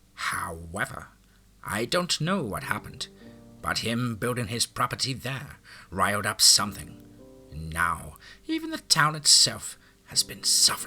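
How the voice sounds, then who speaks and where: A man in a put-on character voice at medium pitch and moderate pace, with long, frequent pauses and faint music in the background. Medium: read story. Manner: sharp, defensive.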